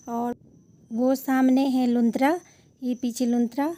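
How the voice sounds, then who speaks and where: Her tone dark and mellow, a woman with a Garhwali accent speaks at a high pitch with fairly even intonation. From Uttarakhand, Garhwal. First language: Garhwali (speaking Hindi). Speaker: travel vlogger. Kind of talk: vlog narration.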